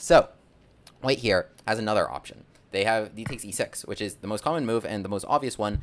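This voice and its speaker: A man speaks at a fairly quick pace in a medium pitch, with ordinary pitch variation. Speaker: chess content creator and gambit teacher. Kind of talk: chess tutorial. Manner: fast; animated.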